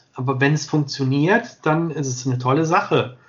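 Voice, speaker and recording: A somewhat breathy man at a fairly slow pace. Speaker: sports videographer. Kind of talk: interview.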